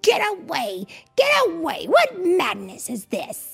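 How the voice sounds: Over faint music in the background, a woman uses a put-on character voice at a high pitch, with vocal fry, very wide pitch swings and a slow pace.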